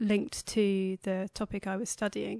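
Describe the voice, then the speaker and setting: In a dry, close sound with no echo and a quiet background, a woman with a British accent speaks at a fairly slow pace and a medium pitch, her tone dark and mellow and her intonation monotone and flat. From England, Cambridge. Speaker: anthropologist. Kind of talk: interview. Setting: studio.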